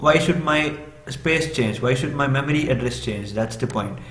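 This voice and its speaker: A man speaks with a Tamil accent at a medium pitch and ordinary pitch variation. Noticeable background noise and audible room echo are present. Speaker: programming tutor. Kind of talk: tutorial. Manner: hesitant, many fillers.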